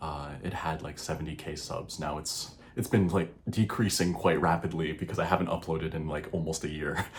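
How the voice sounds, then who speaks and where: In an American accent, a man speaks quietly at a moderate pace with a very deep, low, somewhat breathy voice, fairly even intonation and hardly any pauses. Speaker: YouTuber. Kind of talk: casual vlog monologue. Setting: home recording at night. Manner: hesitant, many fillers.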